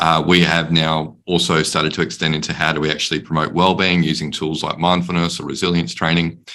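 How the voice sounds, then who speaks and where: The tone is bright and sharp, delivered in an Australian accent at a fairly quick pace. Intonation stays monotone and flat. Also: man. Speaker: panelist on workplace mental health. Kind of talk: panel discussion.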